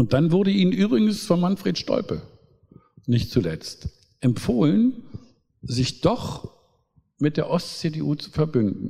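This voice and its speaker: Talking very slowly with long, frequent pauses, a man with a fairly high pitch lets his voice swing very widely up and down. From East Germany. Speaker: pastor and politician. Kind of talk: public talk.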